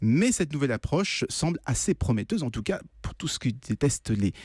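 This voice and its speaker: A somewhat breathy man at a fairly quick pace, fairly high in pitch with very wide pitch swings. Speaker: radio innovation columnist. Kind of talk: radio news segment explanation. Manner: conversational, hesitant.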